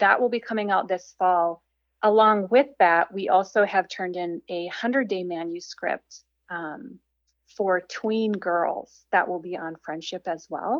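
A woman with an American accent uses a plain, everyday voice, speaking at a medium pitch and a fairly slow pace with ordinary pitch variation. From Minnesota, small town. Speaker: writer and speaker. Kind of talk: casual interview chat.

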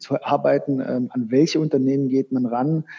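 With a medium pitch, a man talks at a moderate pace. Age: 40s. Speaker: sports marketing sales manager. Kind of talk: interview. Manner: halting, many filler sounds.

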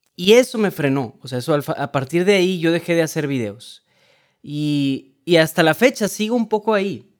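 With a very clean recording and a silent background, a high-pitched man talks at a moderate pace with very wide pitch swings. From Mexico, Monterrey, Nuevo León. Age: 20s. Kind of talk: casual interview chat.

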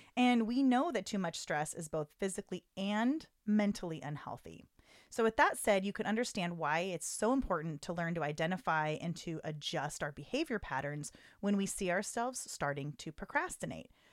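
A woman at medium pitch with very wide swings, an animated tone and a moderate pace, in a very clean recording with a silent background. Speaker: podcast host. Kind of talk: casual chat. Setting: studio, close to mics. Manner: animated, laughs often.

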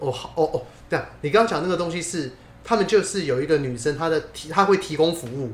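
A very fast pace over noticeable background noise. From Taiwan, Taipei (Neihu). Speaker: podcast co-host. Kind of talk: casual chat.

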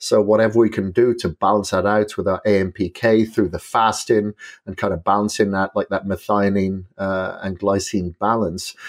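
Against a quiet background, a man with a Welsh accent speaks at a moderate pace in a monotone, flat voice of fairly low pitch. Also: hardly any pauses, dry, close sound with no echo. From Wales. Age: 40s. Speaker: bodybuilder and endurance athlete. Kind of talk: podcast interview.

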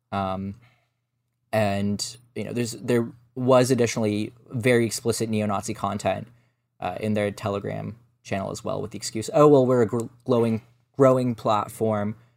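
A man's fairly low voice, an ordinary speaking voice, fairly even in intonation, at a moderate pace, on a very clean recording with a silent background. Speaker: journalist and researcher. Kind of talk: interview. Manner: measured, frequent filler words.

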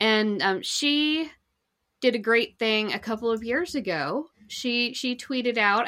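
A woman has a normal speaking voice with a fairly high pitch and lively intonation. The recording is very clean, with a silent background. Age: 40s. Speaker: marketing guest expert. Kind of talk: casual interview.

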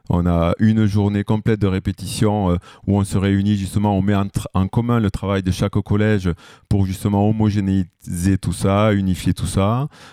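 A man speaks in a dark, mellow tone with monotone, flat intonation and very even loudness. The recording is very clean, with a silent background. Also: fairly low pitch for a man, moderate pace, dry, close sound with no echo. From southwest France, Lot-et-Garonne. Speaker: music teacher. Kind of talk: casual interview.

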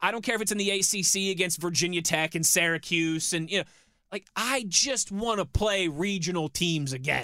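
A man with a slight Pittsburgh accent speaks at a moderate pace in a high, bright, sharp voice with ordinary pitch variation, on a very clean recording with a silent background. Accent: slight Pittsburgh (Yinzer). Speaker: sports radio co-host. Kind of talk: casual sports talk. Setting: studio.

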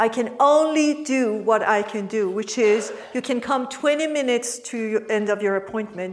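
A woman with a non-native accent speaks at a fairly high pitch with ordinary pitch variation, over noticeable background noise. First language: not English. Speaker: mindfulness teacher and coach. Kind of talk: workshop teaching. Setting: workshop with participants.

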